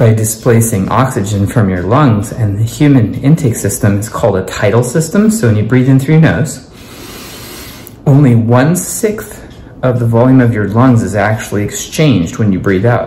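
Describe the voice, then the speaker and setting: Audible room echo surrounds a man speaking at a moderate pace. His pitch varies in an ordinary way over light background noise. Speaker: home science presenter. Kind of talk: science demonstration talk. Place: kitchen. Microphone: phone near.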